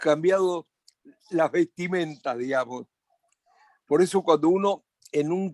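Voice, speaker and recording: A man's high voice with ordinary pitch variation, at a fairly slow pace, in a dry, close sound with no echo. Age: 80s+. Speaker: psychiatrist, addiction specialist. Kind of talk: panel discussion. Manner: halting, with repetitions.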